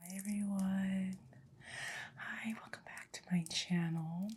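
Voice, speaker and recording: Soft-spoken, somewhat breathy woman with fairly even intonation. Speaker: ASMR creator. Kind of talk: ASMR makeup get-ready-with-me talk to camera. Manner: relaxed, calm.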